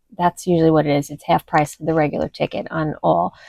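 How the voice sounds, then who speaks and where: A woman speaks in a dry, close sound with no echo, on a very clean recording with a silent background. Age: 60s. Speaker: lifestyle vlogger. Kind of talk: casual vlog talk to camera. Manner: conversational with hesitations.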